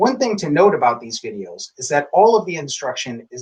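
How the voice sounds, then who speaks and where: This man talks at a fairly quick pace, and his voice is somewhat breathy. His pitch swings very widely. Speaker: tai chi instructor. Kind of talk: instructional introduction to camera.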